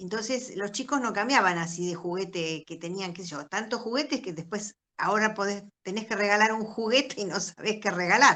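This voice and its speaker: In a Rioplatense accent, a woman of medium pitch speaks at a fairly quick pace with a bright, sharp tone, ordinary pitch variation and big swings in loudness. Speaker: cultural association organizer. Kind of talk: casual chat. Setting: video call.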